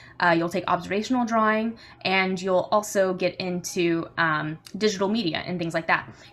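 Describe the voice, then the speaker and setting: A woman talks at a fairly quick pace with a bright, sharp tone. Her pitch is medium with ordinary variation. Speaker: university admissions coordinator. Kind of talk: informational presentation. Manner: fast; many filler ums.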